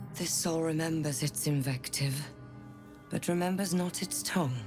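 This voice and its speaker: In a put-on character voice at a middle pitch, the speaker drawls at a moderate pace over clear background music. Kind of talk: archaic, formal. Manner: eloquent drawl.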